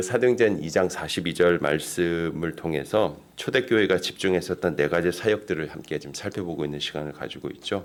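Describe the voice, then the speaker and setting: Speech comes at a fairly quick pace with hardly any pauses. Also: man. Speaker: pastor. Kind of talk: sermon. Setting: church.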